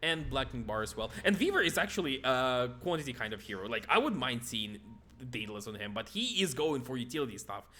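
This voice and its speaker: With music playing in the background, a man with a non-native accent speaks very fast at a medium pitch, his intonation lively. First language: not English. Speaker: esports commentator. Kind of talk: live commentary. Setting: live stream. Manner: halting, many repetitions.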